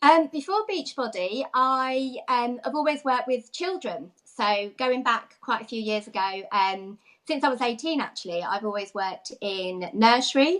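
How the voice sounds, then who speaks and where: With a London accent, a woman talks at a high pitch and a fairly slow pace, using lively intonation and hardly any pauses. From London area, Watford. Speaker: fitness coach, former nursery manager. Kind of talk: interview.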